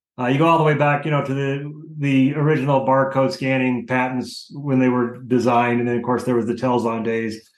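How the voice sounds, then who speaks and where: An ordinary speaking voice: a man at medium pitch, fairly quick and fairly even in intonation, with hardly any pauses. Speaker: industry consultant. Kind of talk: interview discussion, casual professional.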